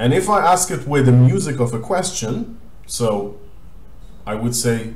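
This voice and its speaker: A somewhat breathy man with an Israeli accent, medium pitch and very wide pitch swings, in audible room echo. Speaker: language teacher. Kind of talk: tutorial.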